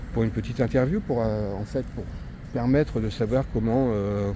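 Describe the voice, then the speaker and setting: This man talks at a fairly quick pace with a dark, mellow tone and medium pitch. His intonation stays fairly even. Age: 60s. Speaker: video blogger and interviewer. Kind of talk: street interview. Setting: outdoors in a shopping area. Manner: halting, many hesitations.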